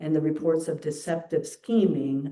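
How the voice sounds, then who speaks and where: The tone is dark and mellow, at a moderate pace. Audible room echo surrounds the voice. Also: woman. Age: 60s. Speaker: minister. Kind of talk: sermon.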